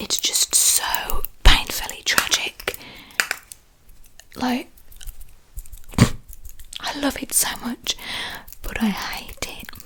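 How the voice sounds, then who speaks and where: The whispering comes at a very slow pace and stops for long, frequent pauses. Behind it, noticeable background noise is present. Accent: British. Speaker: ASMR creator. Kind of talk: whispered ASMR ramble. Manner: whispered.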